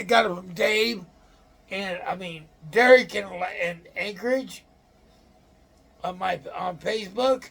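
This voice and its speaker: This man speaks at a fairly slow pace. His pitch is high. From Illinois. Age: 60s. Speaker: outdoors channel host. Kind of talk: casual show-and-tell talk. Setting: room in a nursing home. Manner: halting.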